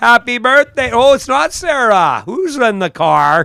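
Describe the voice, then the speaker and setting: A man speaks in a raised, projected voice at an extremely high pitch, with a Canadian prairie accent. His tone is bright and sharp, his intonation lively, and his pace fairly slow. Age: 60s. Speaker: drag strip announcer. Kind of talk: live commentary. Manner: animated.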